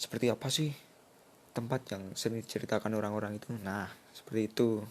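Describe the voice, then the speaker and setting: A man talks at a fairly quick pace. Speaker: university student. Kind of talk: class presentation.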